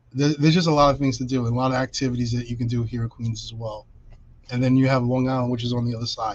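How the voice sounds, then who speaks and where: A man with a New York accent, monotone, flat intonation and a very fast pace. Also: medium pitch for a man. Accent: New York City. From New York City (Brooklyn). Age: 50s. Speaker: realtor. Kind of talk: interview on a video podcast.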